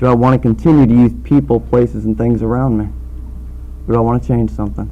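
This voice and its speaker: There is noticeable noise in the background. Against it, a man speaks very fast. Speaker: speaker at recovery meeting. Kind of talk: testimony.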